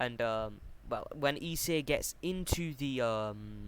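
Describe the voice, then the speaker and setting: A man's voice sits at a medium pitch. The background is silent in this very clean recording. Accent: British. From Britain. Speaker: YouTuber telling fan-fiction story. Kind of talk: casual storytelling narration. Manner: halting, many fillers.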